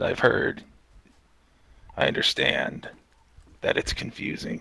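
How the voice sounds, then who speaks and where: A man performs a put-on character voice. It is raspy and delivered at a fairly slow pace. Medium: game stream. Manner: calm, guarded, cryptic.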